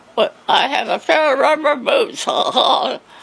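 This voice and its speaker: Noticeable background noise runs under this clip. The woman talks at a very slow pace. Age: 80s+. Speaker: elderly woman telling life story. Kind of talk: interview. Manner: halting.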